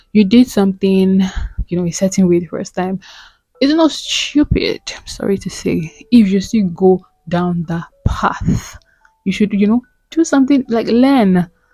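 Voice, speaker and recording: A woman at a medium pitch and a fairly slow pace, with lively intonation and big swings in loudness, over music in the background. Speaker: self-help vlogger. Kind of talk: motivational talk. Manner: animated.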